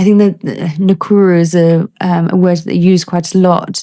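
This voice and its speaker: Speaking at a moderate pace in a British accent, a woman delivers her words with monotone, flat intonation and a dark, mellow tone. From United Kingdom. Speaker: army doctor, ENT specialist. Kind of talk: interview answer.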